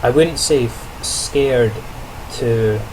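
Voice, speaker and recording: A man is speaking. Noticeable background noise and audible room echo come through. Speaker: student teacher vlogger. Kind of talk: video diary monologue. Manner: casual, with many fillers and restarts.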